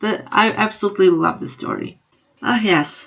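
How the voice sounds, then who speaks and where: Lively intonation runs through this voice with a Slovenian accent. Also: woman. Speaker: book vlogger. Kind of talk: casual vlog review.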